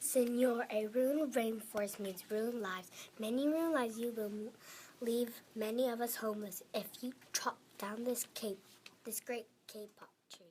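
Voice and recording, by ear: A woman puts on a squeaky character voice with a fairly high pitch, speaking at a moderate pace.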